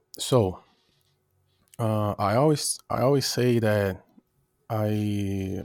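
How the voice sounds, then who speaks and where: The recording is very clean, with a silent background. A man talks at a fairly low pitch. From Brazil. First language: Portuguese. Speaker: rapper and music producer. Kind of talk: interview. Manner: halting.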